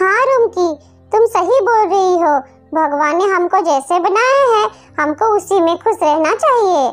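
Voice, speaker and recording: Using a cartoonish character voice, a woman speaks at an extremely high pitch with lively intonation. Her pace is fairly slow, her loudness very even, and faint music plays in the background. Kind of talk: cartoon character voice.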